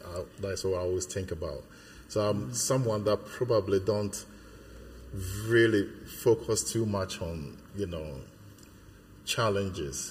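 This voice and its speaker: A man talks at a moderate pace in a fairly low, somewhat breathy voice. He uses ordinary pitch variation and takes long, frequent pauses. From Ghana. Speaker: church member. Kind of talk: interview. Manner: halting.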